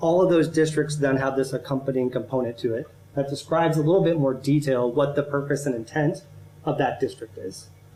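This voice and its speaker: Somewhat breathy and dark, mellow in tone, a man's fairly high voice moves at a fairly quick pace with an American accent. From Central Ohio. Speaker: urban planning consultant. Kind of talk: presentation to city council. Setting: council meeting. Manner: halting, with frequent restarts.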